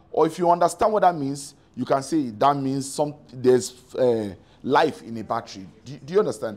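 Here a man talks at a moderate pace. His intonation is lively. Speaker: preacher. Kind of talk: sermon. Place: church. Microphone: lapel.

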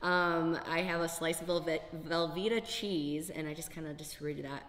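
With light background noise, a woman speaks at a moderate pace and a fairly low pitch. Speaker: fitness competitor and vlogger. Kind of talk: casual vlog. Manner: giggly, cheerful.

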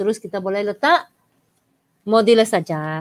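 A woman's voice, dry and close with no echo. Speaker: maths teacher. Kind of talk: online live lesson. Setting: live stream.

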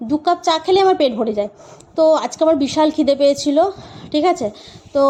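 There is noticeable background noise behind a woman's voice. Her pitch variation is ordinary. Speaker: vlogger and mother. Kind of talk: vlog narration. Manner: voice-over recorded afterwards.

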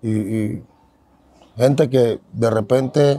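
This man has a dark, mellow tone with ordinary pitch variation. The sound is dry with no echo. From Panama, San Miguelito. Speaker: ex-convict turned preacher. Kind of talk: testimony. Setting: outdoors. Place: street. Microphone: handheld.

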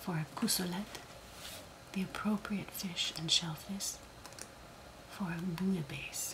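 A soft-spoken woman talks with fairly even intonation and long, frequent pauses, against noticeable background noise. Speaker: ASMR creator. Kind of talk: reading aloud from a book. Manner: soft-spoken, slow.

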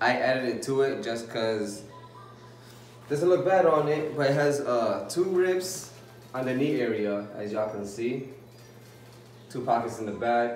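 With audible room echo and faint music in the background, a man speaks at a fairly slow pace with ordinary pitch variation. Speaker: vlogger. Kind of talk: casual vlog chat, clothing haul. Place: home room. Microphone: phone near.

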